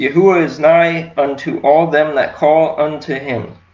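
Over light background noise and audible room echo, a man speaks at fairly high pitch and a fairly slow pace with fairly even intonation. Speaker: congregation member reading scripture. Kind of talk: scripture reading aloud. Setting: online church service. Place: home room. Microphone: webcam.

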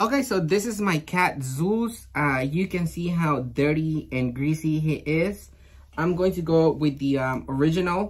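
A man talks at a fairly slow speed, his pitch moving in an ordinary way. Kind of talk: product review chat. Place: shop. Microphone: phone near.

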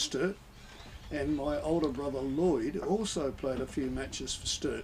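A man with an Australian accent, fairly high in pitch, at a moderate pace with ordinary pitch variation and light background noise. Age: 70s. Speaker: retired school principal; interview radio guest. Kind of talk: radio interview. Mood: reminiscing, relaxed. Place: booth. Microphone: studio mic.

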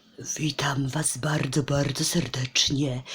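A put-on character voice at low-to-middle pitch, with monotone, flat intonation and a fairly slow pace.

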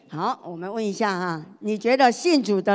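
Behind this woman, the background is quiet. She keeps a moderate pace and ordinary pitch variation. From Taiwan. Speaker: pastor's wife preaching. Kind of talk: sermon. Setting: church. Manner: animated. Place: church. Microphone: handheld.

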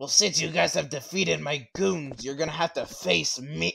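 A cartoonish character voice swings very widely in pitch at a moderate pace. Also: man, fairly high pitch for a man. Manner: gloating, taunting.

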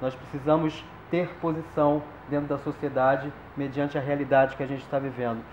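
Flat, monotone male speech at a fairly quick pace, with light background noise and audible room echo. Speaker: theater director or teacher. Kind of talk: closing speech to audience. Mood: earnest, committed. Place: stage.

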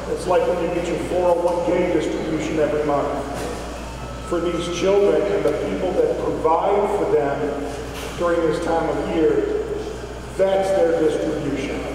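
A man at a fairly slow pace with long, frequent pauses, strong room echo and music in the background. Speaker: speaker. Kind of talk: speech. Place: shop.

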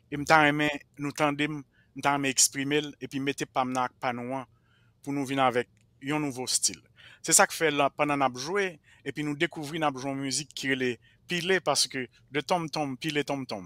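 At a fairly slow pace with long, frequent pauses, a man speaks in a fairly high pitch and a bright, sharp tone, his intonation fairly even and the sound dry with no echo. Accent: Haitian. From Haiti, Jérémie; Haiti. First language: Haitian Creole (speaking French). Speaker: Haitian roots musician; interview guest. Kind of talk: interview. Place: home room. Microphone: headset.

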